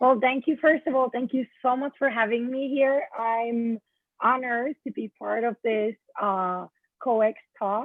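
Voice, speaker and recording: A high-pitched woman talks at a fairly slow pace. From Finland. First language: Finnish. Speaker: event planner, business owner. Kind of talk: interview. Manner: hesitant, many fillers.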